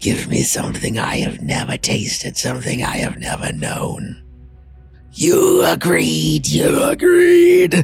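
Someone uses a put-on character voice at a fairly slow pace while clear music plays in the background. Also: man. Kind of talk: horror game-master voice acting. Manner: cryptic, ominous, condescending.

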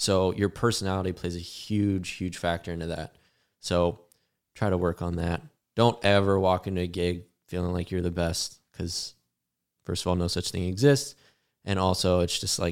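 A man with a very deep, low pitch and an American accent at a moderate pace, on a very clean recording with a silent background. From Arizona. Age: 20s. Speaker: drummer. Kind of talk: casual chat. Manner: animated.

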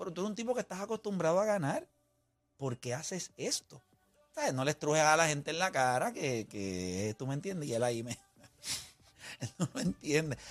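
Over music in the background, a man with a fairly high pitch speaks at a fairly quick pace, with very wide pitch swings and long, frequent pauses, in a dry, close sound with no echo. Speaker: sports radio host. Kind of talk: heated sports debate. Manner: loud, mocking, animated.

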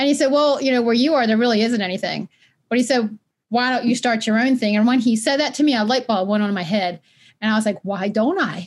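At a very fast pace, a woman with an American accent speaks in an energetic, animated tone. Her pitch is fairly high with ordinary variation, and her loudness stays very even. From Maryland (Baltimore). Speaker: nonprofit founder, former educator. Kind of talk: interview conversation. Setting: remote call, not in same room.

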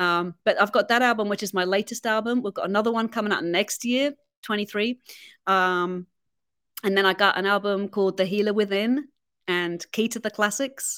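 In a very clean recording with a silent background and a dry, close sound with no echo, a woman with an English accent speaks at a moderate pace and medium pitch, her intonation fairly even. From England. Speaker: violinist. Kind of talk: interview. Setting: studio.

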